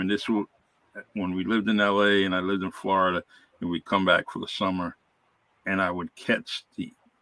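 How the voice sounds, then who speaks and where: With a Massachusetts accent, a man speaks at a fairly quick pace in a fairly low voice. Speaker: retired police officer. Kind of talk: interview.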